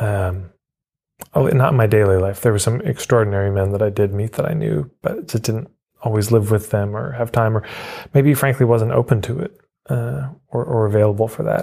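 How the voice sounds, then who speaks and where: A man with a Canadian accent talks at a fairly quick pace. His fairly low, somewhat breathy voice has a dark, mellow tone and ordinary pitch variation. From Canada, Edmonton, Alberta. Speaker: marketing coach and author. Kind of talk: interview conversation.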